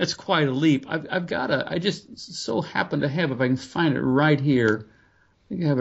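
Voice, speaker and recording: In an unremarkable speaking voice, a man talks at a fairly quick pace with a fairly high pitch and ordinary pitch variation. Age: 50s. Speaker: pastor and author. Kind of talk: interview about faith.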